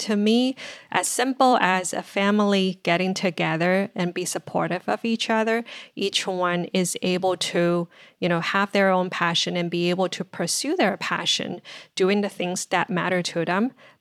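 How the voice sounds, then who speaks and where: The speaker has a Chinese accent and a moderate pace, recorded with a dry, close sound that has no echo. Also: woman. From China (Shanghai). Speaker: marketing executive. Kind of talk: podcast interview. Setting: home office, remote.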